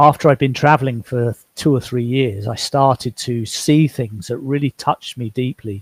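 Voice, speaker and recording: A somewhat breathy man with an English accent speaks at medium pitch with fairly even intonation, the sound dry and close with no echo on a very clean recording with a silent background. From England. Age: 60s. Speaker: author. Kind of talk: interview.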